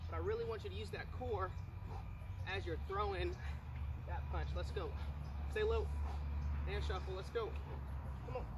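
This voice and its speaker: A man's speech broken by long, frequent pauses, over noticeable background noise. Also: moderate pace. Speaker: fitness instructor. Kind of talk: workout coaching. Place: garden.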